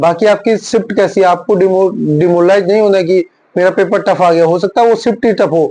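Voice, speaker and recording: A man with a high pitch talks at a moderate pace in a dark, mellow tone. His intonation is fairly even and his loudness very even. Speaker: ex-serviceman and banking exam coach. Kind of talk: exam guidance video.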